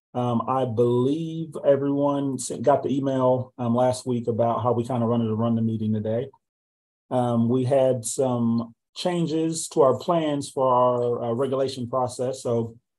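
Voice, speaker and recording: At a fairly slow pace, a man talks with fairly even intonation. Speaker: meeting host. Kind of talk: meeting opening remarks. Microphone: video call.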